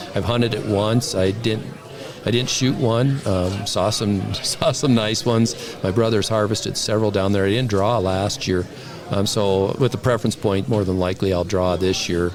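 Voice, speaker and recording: With very even loudness and fairly even intonation, a man with a fairly low pitch speaks at a moderate pace amid noticeable background noise and audible room echo. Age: 60s. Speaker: bow hunter. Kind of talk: casual chat. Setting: convention.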